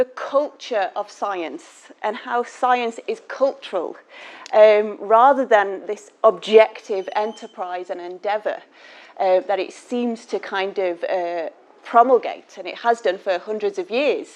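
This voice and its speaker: A woman with a Manchester accent talks at a very slow pace in a fairly high pitch, her intonation lively and her loudness swinging widely. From northern England, Manchester. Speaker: class teacher giving a guest lecture. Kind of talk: lecture. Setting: lecture hall with audience.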